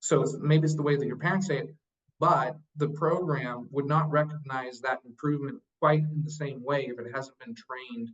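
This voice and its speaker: A man speaks at a moderate pace in a fairly high voice for a man, somewhat breathy, with ordinary pitch variation. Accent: American. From Idaho, US. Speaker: children's literacy educator. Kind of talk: interview. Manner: halting, many fillers.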